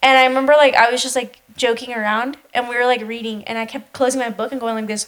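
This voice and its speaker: With a Spanish accent, a woman talks at a very fast pace in a high, animated voice, with hardly any pauses. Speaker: podcast co-host. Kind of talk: casual chat.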